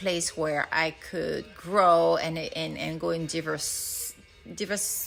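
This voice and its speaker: Music plays behind a woman who speaks at a fairly slow pace with a French accent. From France. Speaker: nurse turned financial advisor. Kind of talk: casual self-introduction. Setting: storage room at home. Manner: hesitant, many fillers.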